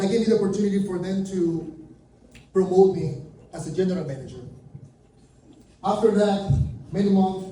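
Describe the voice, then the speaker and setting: This man has a high voice with a dark, mellow tone and flat, monotone delivery. Room echo and light background noise are audible. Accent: Venezuelan. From Venezuela. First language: Spanish. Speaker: junk removal business speaker; presenter. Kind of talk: conference talk; presentation talk. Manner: halting. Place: meeting room.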